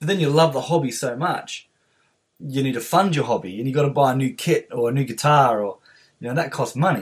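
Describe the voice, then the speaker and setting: There is ordinary pitch variation in this man's somewhat breathy voice. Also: medium pitch for a man, fairly quick pace. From Australia. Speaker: podcast host and musician. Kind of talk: interview. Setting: video call.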